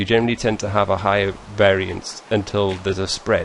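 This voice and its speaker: Noticeable background noise fills the recording. Over it, a man's voice comes through. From northern England. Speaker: gaming YouTuber. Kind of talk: casual Q&A video monologue. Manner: halting, many fillers and restarts.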